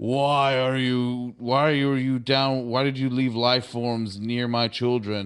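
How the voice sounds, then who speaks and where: A man puts on a booming character voice, medium in pitch and fairly slow in pace. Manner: commanding, accusatory.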